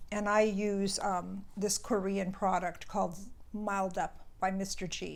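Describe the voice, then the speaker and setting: A woman's medium-pitched voice, fairly slow and monotone, with audible room echo. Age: 70s. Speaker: skincare vlogger. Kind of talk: casual product review. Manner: conversational, some stumbles.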